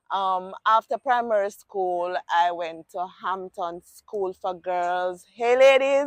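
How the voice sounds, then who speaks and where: A woman's medium-pitched voice at a very slow pace, with hardly any pauses and ordinary pitch variation. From Jamaica, rural St. Elizabeth parish. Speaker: cancer survivor. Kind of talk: interview. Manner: casual, hesitant with fillers.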